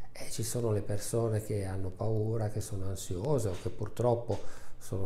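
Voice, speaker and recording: In a room with audible echo and light background noise, a man speaks at a fairly low pitch with fairly even intonation. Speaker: family doctor. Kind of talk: interview answer. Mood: calm, reflective. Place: office. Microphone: lapel.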